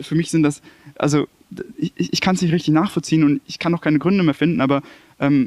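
A man talks at a fairly quick pace, recorded in a dry, close sound with no echo. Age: 20s. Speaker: former bullying victim. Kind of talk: testimony. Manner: halting.

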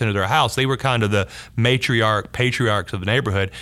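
A man with a Southern US accent talks at a very fast pace. His pitch varies in an ordinary way. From US South, North Louisiana. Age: 50s. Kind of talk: interview conversation.

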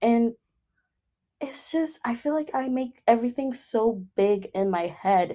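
This woman's dark, mellow tone sits at a fairly high pitch, with lively intonation and a fairly slow pace. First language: not English. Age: 20s. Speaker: podcast host. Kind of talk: casual monologue. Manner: frequent laughter; filler-heavy, halting.

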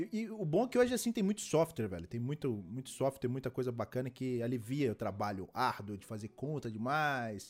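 A man with an unremarkable speaking voice talks at a medium pitch and a fairly quick pace, with lively intonation and hardly any pauses. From Belo Horizonte, Brazil. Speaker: podcast host. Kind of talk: casual chat.

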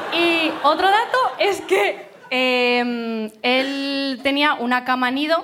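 Over noticeable background noise, a high-pitched woman speaks very slowly with hardly any pauses, lively intonation, and very even loudness. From Burgos, Spain. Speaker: audience member telling a story. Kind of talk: storytelling to a live audience.

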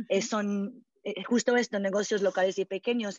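A woman's medium-pitched, fairly slow delivery in a normal speaking voice. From California, US. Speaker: founder of a vegetarian community project. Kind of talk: interview. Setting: podcast interview.

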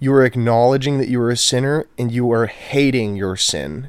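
A man's medium-pitched voice at a moderate pace, with ordinary pitch variation. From Texas, Houston. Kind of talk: casual chat. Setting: home, on a couch.

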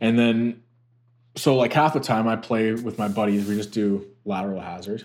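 Over a very clean recording with a silent background, a man with an ordinary speaking voice and medium pitch speaks at a moderate pace with fairly even intonation. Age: 30s. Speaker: golf content creator. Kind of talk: casual chat.

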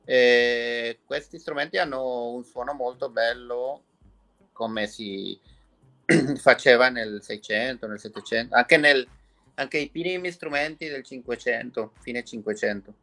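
A man in a Spanish accent speaks at a very slow pace with long, frequent pauses, using a medium pitch, ordinary pitch variation, a bright, sharp tone and big swings in loudness. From Mexico. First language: Spanish (speaking Italian). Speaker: violin maker. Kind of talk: interview.

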